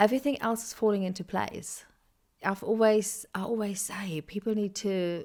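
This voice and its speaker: With a German accent, a woman speaks at medium pitch and fairly even intonation. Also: moderate pace. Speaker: podcast host. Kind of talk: casual interview chat. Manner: long-winded, circling.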